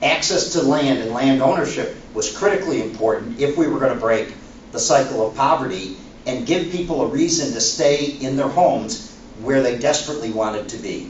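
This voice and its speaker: A man with a fairly high pitch speaks at a moderate pace amid audible room echo and noticeable background noise. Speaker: former university president. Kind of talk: panel talk. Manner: halting.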